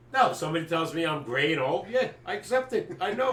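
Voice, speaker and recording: Over noticeable background noise, a man with an American accent speaks at a very fast pace with lively intonation. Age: 70s. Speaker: sports podcast co-host. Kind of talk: casual chat. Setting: live stream.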